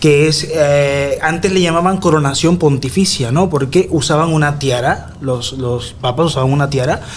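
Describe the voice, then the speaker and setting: A man speaks in a fairly high pitch with ordinary pitch variation and hardly any pauses. Noticeable background noise and audible room echo are present. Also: moderate pace. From Nicaragua. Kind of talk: radio interview. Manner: conversational, with hesitations.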